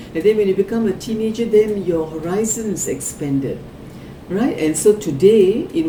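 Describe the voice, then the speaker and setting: Over noticeable background noise and audible room echo, a woman speaks at a moderate pace with lively intonation. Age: 60s. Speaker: psychic card reader. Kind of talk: psychic reading for a client. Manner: conversational, with filler words.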